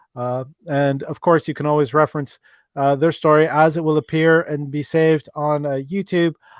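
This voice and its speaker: A man with an Irish accent, fairly high in pitch, at a moderate pace with flat, monotone intonation, in a dry, close sound with no echo and a quiet background. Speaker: relationship advice livestream host. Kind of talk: live interactive advice stream. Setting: livestream. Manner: halting, many fillers.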